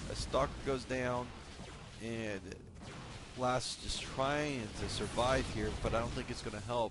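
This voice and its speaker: Speaking at a fairly slow pace with long, frequent pauses, a man keeps a medium pitch and fairly even intonation in audible room echo. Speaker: esports shoutcaster. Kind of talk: live game commentary. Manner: stutters at times, many fillers.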